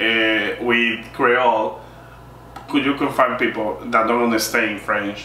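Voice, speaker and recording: Over noticeable background noise and audible room echo, a man speaks very slowly in a monotone, flat intonation at very even loudness. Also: medium pitch for a man. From Dominican Republic. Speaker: linguist, interview guest. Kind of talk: casual conversation. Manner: halting, searching for words.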